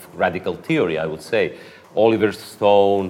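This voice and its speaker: A man at a moderate pace, monotone and flat in intonation, with noticeable background noise. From Croatia. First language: Croatian. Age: 30s. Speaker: philosopher and political activist. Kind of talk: interview.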